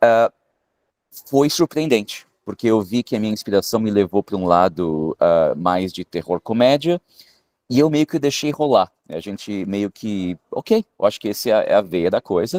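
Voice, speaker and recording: A man at fairly low pitch, with lively intonation and a moderate pace, in a dry, close sound with no echo. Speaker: film director and screenwriter. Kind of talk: interview. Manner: hesitant, many filler sounds.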